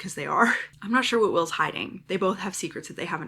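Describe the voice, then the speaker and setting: A woman talks at a very fast pace with a bright, sharp tone. Her pitch varies in an ordinary way, with some vocal fry. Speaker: book vlogger. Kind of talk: casual vlog talk to camera.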